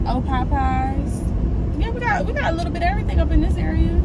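A woman speaks at a very fast pace over loud background noise. The sound is dry with no echo. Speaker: guest. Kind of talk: casual vlog chat. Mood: playful, joking. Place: car. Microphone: camera far.

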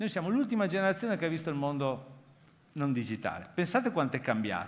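Very wide pitch swings in a man's fairly high voice. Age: 50s. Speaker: foundation president, keynote speaker; keynote speaker. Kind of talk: conference keynote talk. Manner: halting. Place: hall. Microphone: headset.

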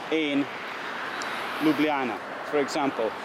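Very slow speech over noticeable background noise, with a dry sound and no echo. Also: man. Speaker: history travel narrator. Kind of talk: commentary. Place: street. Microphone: camera far.

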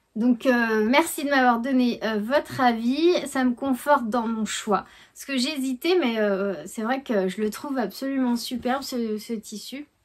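A high-pitched woman at a fairly slow pace with hardly any pauses, ordinary pitch variation and big swings in loudness, over a quiet background. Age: 40s. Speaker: knitting and sewing vlogger; sewing vlogger. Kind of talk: casual vlog chat. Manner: hesitant, many fillers. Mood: warm, cheerful. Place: home room. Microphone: phone near.

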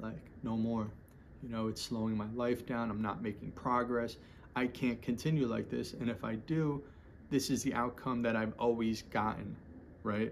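With light background noise, a man talks at a moderate pace and fairly even intonation. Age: 40s. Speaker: vlogger sharing recovery story. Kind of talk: personal monologue. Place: home room. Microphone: phone near.

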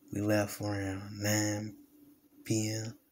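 Over noticeable background noise, a man with an American accent speaks in a fairly low, somewhat breathy voice with monotone, flat intonation. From US South, Alabama. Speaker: gaming YouTuber. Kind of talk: casual vlog talk to camera. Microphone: phone near.

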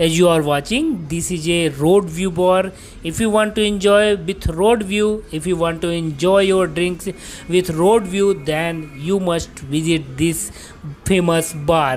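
A woman with a normal speaking voice talks at a fairly slow pace, her fairly low pitch varying in an ordinary way over light background noise. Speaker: travel vlogger. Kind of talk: casual vlog commentary. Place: street. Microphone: phone near.

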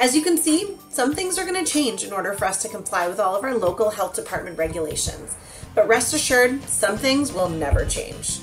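Over clear music in the background, a woman speaks at a fairly quick pace in a high pitch. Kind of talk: promotional announcement. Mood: upbeat, reassuring. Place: office. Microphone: webcam.

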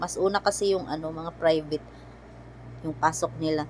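Over noticeable background noise, a woman speaks at a moderate pace. Her intonation is monotone and flat. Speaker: family vlogger. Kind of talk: casual vlog narration. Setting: shopping mall. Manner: chatty, laughing.

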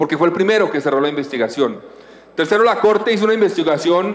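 A man's voice with ordinary pitch variation. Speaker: senator. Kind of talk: parliamentary debate speech. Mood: combative, rebutting accusations. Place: hall. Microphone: podium.

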